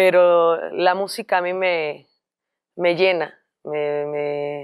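Against a quiet background, a woman with a Cuban accent speaks at a very slow pace, with a fairly low pitch and fairly even intonation. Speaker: singer; guest. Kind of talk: interview. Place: studio.

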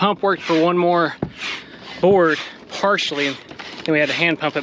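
Amid noticeable background noise, a man speaks in a monotone, flat way at a moderate pace, with a dry sound and no echo. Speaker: vlogger. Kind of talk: casual vlog chat. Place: boat. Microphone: phone near.

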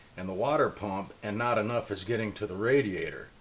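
This is a man speaking. His pace is moderate. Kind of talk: tutorial. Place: garage.

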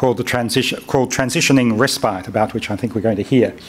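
A man speaks over noticeable background noise. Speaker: conference chair. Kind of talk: event introduction. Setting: stage with audience.

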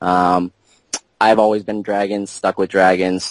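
In a plain, everyday voice, a man speaks at a moderate pace with fairly low pitch and fairly even intonation, the sound dry and close with no echo. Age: 20s. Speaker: top-ranked mobile game player. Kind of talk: interview.

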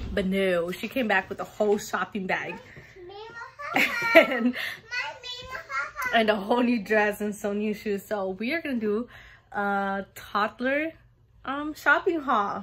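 Amid noticeable background noise, a woman talks at a fairly slow pace with long, frequent pauses. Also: ordinary pitch variation. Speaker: mother vlogger. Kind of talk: casual vlog chat. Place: home room. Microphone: phone near.

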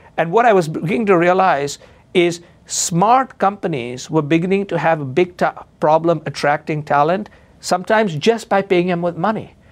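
His pitch is high for a man, and it varies in an ordinary way. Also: moderate pace. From India. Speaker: advertising executive and author; interview guest. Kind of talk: interview. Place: studio. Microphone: lapel.

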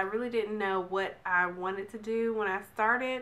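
A woman's fairly high voice, bright and sharp in tone, moves at a fairly slow pace. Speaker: beauty vlogger. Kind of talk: casual talk to camera. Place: home room. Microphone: phone near.

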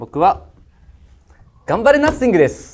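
The speech moves at a fairly quick pace. Vocal fry runs through the voice. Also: man. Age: middle-aged. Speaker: investor panelist on a business pitch show; panelist. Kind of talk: pitch panel critique and verdict. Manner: casual, blunt. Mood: warm, encouraging. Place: studio.

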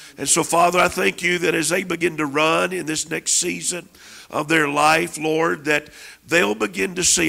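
With vocal fry and a bright, sharp tone, a man speaks at a fairly slow pace, his fairly high pitch carried by lively intonation. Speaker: minister praying over guest; guest. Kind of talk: prophetic prayer. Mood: fervent, earnest. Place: church. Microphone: handheld.

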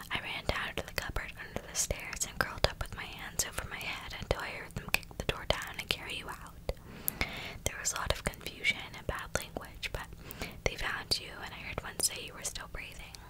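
A soft-spoken woman talks at a fairly quick pace. Loud background noise runs behind her. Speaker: storyteller. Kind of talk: dramatic story reading. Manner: soft, hushed ASMR reading voice. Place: home room. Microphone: earbuds.

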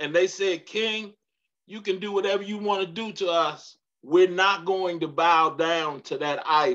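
Speaking fairly slowly against a quiet background, a man with a high pitch sounds animated, his tone bright and sharp. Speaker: pastor leading Bible study. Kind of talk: midweek Bible study teaching with preaching delivery, call-and-response style. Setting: church livestream on Facebook Live. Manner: animated, emphatic, repeats key lines for emphasis; warm, humorous, engages audience. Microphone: video call.

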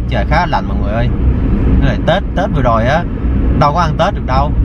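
A man speaks fairly quickly in a dry, echo-free sound, with loud noise in the background. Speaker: vlogger. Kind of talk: casual vlog chat. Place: car. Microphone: phone near.

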